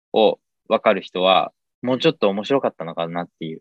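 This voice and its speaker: A man talks at a moderate pace. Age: 20s. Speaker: podcaster and father of two. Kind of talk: casual chat.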